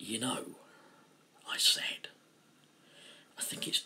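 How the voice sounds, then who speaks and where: A man whispering. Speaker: author reading own story. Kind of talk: fiction reading.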